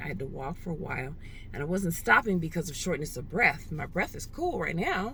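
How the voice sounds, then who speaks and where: A woman speaks with ordinary pitch variation amid audible room echo and noticeable background noise. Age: 60s. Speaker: vlogger. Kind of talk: casual vlog monologue. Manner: hesitant, with many fillers.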